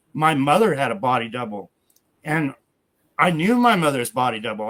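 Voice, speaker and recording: A plain, everyday voice from a man, fairly high in pitch and fairly slow in pace. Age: 60s. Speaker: guest claiming famous identity. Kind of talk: interview.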